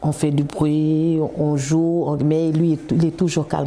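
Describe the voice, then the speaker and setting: This is a woman's voice. Her pitch is fairly low. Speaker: mother of a young footballer. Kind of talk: interview testimony. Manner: loud.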